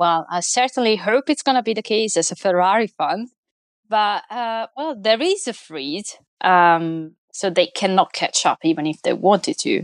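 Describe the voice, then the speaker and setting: In an Italian accent, a woman speaks at a moderate pace with very wide pitch swings. The sound is dry and close with no echo, over a quiet background. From Italy. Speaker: motorsport opinion columnist. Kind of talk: casual chat.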